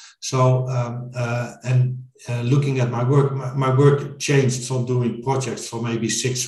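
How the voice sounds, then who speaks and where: A man speaks at a moderate pace with medium pitch. Noticeable background noise and audible room echo are present. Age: 40s. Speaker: IT consultant. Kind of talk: interview.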